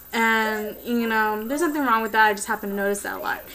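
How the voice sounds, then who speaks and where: A woman's fairly high voice comes through with noticeable background noise. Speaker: vlogger. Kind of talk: casual vlog. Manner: fast; hesitant, many fillers.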